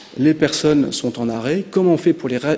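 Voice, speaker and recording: Over noticeable background noise, a man speaks fairly quickly with ordinary pitch variation. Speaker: conference speaker, business founder. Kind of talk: conference talk. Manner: hesitant, many fillers.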